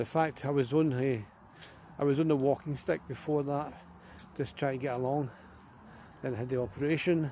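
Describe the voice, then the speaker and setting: A man speaks with a dark, mellow tone and fairly even intonation. Long, frequent pauses break up his speech. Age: 60s. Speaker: vlogger. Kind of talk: casual walking vlog monologue. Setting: outdoors, walking by the river.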